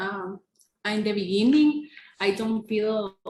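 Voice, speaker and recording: A woman's fairly high voice comes across as somewhat breathy, with lively intonation. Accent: Spanish. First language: Spanish. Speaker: English language student. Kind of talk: casual podcast chat. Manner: hesitant.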